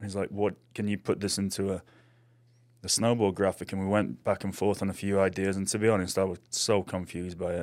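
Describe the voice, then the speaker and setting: A man with a British accent and a fairly low pitch talks at a very fast pace with fairly even intonation on a very clean recording with a silent background. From England. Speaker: artist. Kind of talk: casual chat. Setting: studio.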